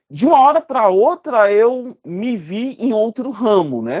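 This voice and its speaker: Against a quiet background, a man with a Cearense accent speaks at a very slow pace. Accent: Ceará (Brazilian northeastern). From Ceará, Brazil (Fortaleza). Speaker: safety engineer and consultant. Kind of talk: interview.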